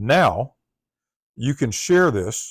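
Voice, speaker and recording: Recorded very cleanly and close with a silent background and no echo, a man with a Southern US accent speaks at medium pitch. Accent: Southern US accent, drawl. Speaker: tech tutorial presenter. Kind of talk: tutorial.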